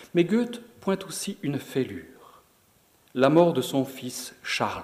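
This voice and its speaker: A man is speaking. His intonation is lively. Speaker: presenter and reader. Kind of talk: lecture-style presentation, commentary between readings. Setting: lecture hall with audience.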